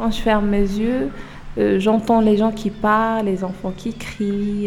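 Speaking very slowly, a woman with a medium pitch keeps her intonation fairly even while audible room echo surrounds her voice. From Morocco, Oujda. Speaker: French language learner. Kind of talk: personal testimony.

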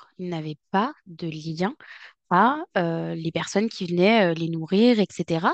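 A woman speaks at a medium pitch with lively intonation. The sound is dry and close with no echo, over a quiet background. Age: 20s. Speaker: clinical psychologist. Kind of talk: interview.

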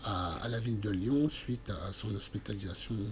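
A man speaks at a very slow pace. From France, Burgundy (Montceau-les-Mines area). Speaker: amateur painter and art workshop leader. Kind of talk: interview. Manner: halting, many repetitions and fillers.

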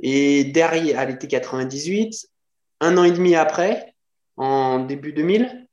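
A fairly high-pitched man's voice with ordinary pitch variation. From France, Lyon. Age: 40s. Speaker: fitness coach and natural bodybuilder. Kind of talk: casual chat.

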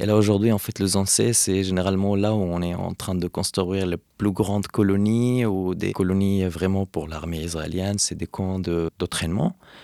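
At a moderate pace with hardly any pauses, a man speaks in a very deep, low voice with a dark, mellow tone and fairly even intonation, recorded dry and close with no echo on a very clean track with a silent background. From Hebron, West Bank, Palestine. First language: Arabic (speaking French). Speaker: Palestinian activist. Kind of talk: interview. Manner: halting, many fillers.

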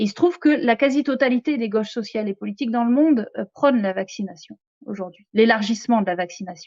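A somewhat breathy woman talks at a moderate pace, her fairly high pitch showing ordinary variation. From France, Picardy and southern France. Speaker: economics lecturer and activist spokesperson. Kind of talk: interview. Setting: live stream studio.

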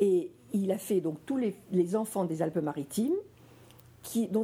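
A woman speaks at a fairly slow pace in a medium-pitched voice with a dark, mellow tone. Her delivery is somewhat breathy, and her intonation is lively. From France, Nice area. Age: 70s. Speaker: association president. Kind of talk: talk to school students. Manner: halting.

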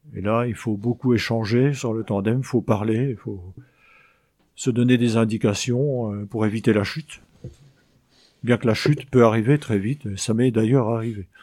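With long, frequent pauses and a fairly slow pace, a man speaks in a dark, mellow tone on a very clean recording with a silent background. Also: medium pitch for a man, fairly even intonation. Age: 50s. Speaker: blind craftsman at a sheltered workshop. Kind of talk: interview.

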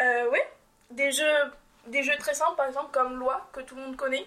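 A woman uses a raised, projected voice, high in pitch with a bright, sharp tone. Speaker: civic service volunteer. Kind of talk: radio interview answer.

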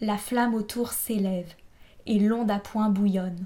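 The voice is somewhat breathy, with a dark, mellow tone and monotone, flat intonation. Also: woman. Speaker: audiobook narrator. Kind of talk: dramatic audiobook narration of epic verse. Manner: solemn, theatrical, measured.

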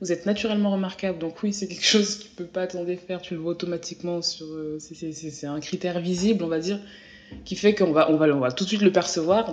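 A woman speaks at a fairly quick pace with fairly even intonation. Her pitch is fairly low, and music plays in the background. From France. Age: 20s. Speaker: journalist. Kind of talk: interview.

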